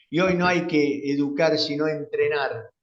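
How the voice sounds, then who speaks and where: Speaking fairly slowly, a man's voice carries audible room echo. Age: 70s. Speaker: conference moderator. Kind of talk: post-lecture discussion. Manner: hesitant, many fillers.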